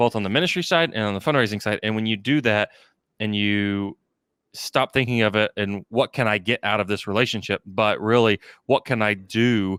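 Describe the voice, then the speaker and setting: A man with an American accent speaks in a normal speaking voice at a fairly low pitch and a moderate pace with ordinary pitch variation, on a very clean recording with a silent background and a dry, close sound with no echo. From Texas, Houston area. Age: 30s. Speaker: fundraising consultant, company president. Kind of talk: podcast interview. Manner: many fillers and restarts.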